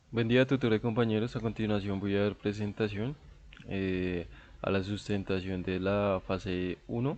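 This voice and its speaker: A man speaks with a fairly low pitch at a moderate pace. His intonation stays fairly even. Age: 20s. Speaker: university student. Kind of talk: class presentation. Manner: halting, many filler sounds.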